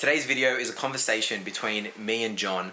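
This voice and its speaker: A man with an Australian accent speaks at a medium pitch over noticeable background noise. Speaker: gravel cyclist, vlogger. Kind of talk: casual talk to camera.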